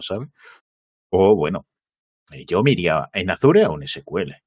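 A man speaks in a very clean recording against a silent background. The sound is dry and close, with no echo. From northern Spain, Asturias (Gijón). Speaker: cloud computing trainer. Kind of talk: casual interview. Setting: live stream, studio.

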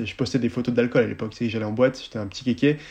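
With fairly even intonation, this man's voice has a dark, mellow tone. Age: 20s. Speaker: Instagram content creator. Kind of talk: casual chat.

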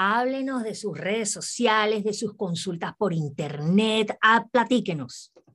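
A woman's normal speaking voice, medium in pitch, at a fairly slow pace with lively intonation over a quiet background. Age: 40s. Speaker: radio host. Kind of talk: interview.

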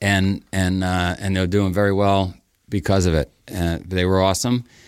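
A man with a New York accent speaks at a very deep, low pitch with fairly even intonation. The recording is very clean, with a silent background. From Queens, New York. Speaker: race company founder. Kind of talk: storytelling interview.

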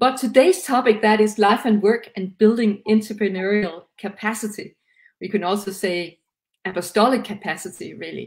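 A woman with a Danish accent, somewhat breathy and fairly high-pitched, at a moderate pace with fairly even intonation and big swings in loudness. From Denmark. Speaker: livestream co-host. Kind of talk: interview. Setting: video call.

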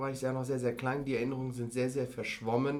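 The voice belongs to a man. It has a medium pitch. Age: 30s. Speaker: business and finance consultant. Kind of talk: casual interview.

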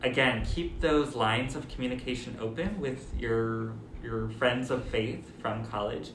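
Over noticeable background noise and audible room echo, a man speaks at a fairly slow pace and medium pitch with ordinary pitch variation. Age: 30s. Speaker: friar and university minister. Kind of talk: casual chat.

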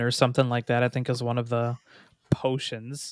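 A man with an ordinary speaking voice talks at a medium pitch and a fairly quick pace. The sound is dry and close with no echo, the recording very clean with a silent background. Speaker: podcast co-host. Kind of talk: casual chat.

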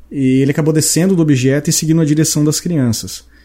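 At a very fast pace, a man speaks with a somewhat breathy, dark, mellow tone and fairly high pitch. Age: 30s. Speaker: podcast host. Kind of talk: casual chat.

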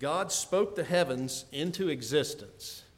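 There is audible room echo. A man's voice carries through it. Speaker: preacher. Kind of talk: sermon.

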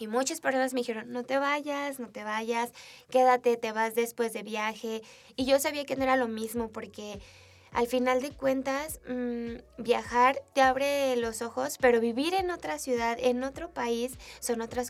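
Speaking with a central Mexican accent, a woman talks at a fairly slow pace in a high voice. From Mexico, Aguascalientes. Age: 20s. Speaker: photographer and entrepreneur. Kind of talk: interview.

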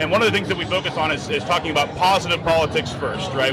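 A very fast pace over noticeable background noise. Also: man. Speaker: libertarian party activist. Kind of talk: casual interview answer. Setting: convention show floor.

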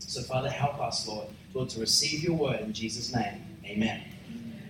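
With lively intonation and a fairly quick pace, a man talks through noticeable background noise. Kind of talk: sermon, preacher in full flow, teaching the congregation.

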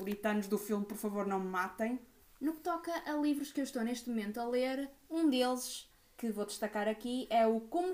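With an unremarkable speaking voice, a woman talks at a moderate pace, her fairly high pitch showing ordinary variation. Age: 20s. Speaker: podcast co-host. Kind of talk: casual chat.

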